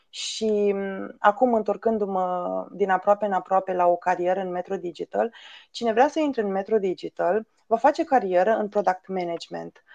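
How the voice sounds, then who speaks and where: Against a quiet background, a woman with a dark, mellow tone speaks at a moderate pace and medium pitch, with ordinary pitch variation and a dry, close sound free of echo. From Romania, Bucovina (village near Suceava). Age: 30s. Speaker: head of agile at tech company. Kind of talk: podcast interview.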